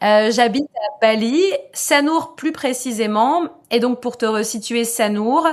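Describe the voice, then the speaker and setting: A woman talks at a very slow pace in a high pitch. Her pitch varies in an ordinary way. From France, Lorraine (Metz). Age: 30s. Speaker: expat mother. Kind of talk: podcast interview. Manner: casual, hesitant fillers.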